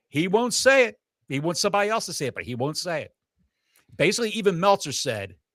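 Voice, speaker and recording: A man speaks in an animated tone with vocal fry. The recording is very clean and the background silent. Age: 60s. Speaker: wrestling podcast co-host. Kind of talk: casual chat.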